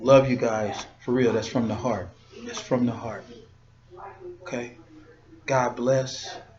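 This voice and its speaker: A man speaks at a very slow pace with long, frequent pauses and fairly even intonation. His loudness swings widely, and there is audible room echo plus noticeable background noise. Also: medium pitch for a man. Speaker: podcast host, former bodyguard. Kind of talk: motivational talk. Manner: casual.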